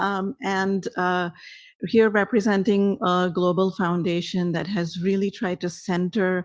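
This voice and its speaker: A woman's medium-pitched voice with a non-native accent, fairly even intonation and a fairly slow pace. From South Asia. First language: not English. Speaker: foundation program director. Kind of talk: panel discussion. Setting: stage with audience.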